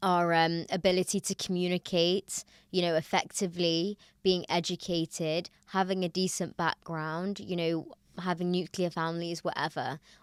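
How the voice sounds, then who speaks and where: A woman with a slight Manchester accent, fairly low pitch and monotone, flat intonation at a moderate pace, in a very clean, dry, close recording with a silent background and no echo. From Manchester, northern England. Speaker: podcaster. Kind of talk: casual chat.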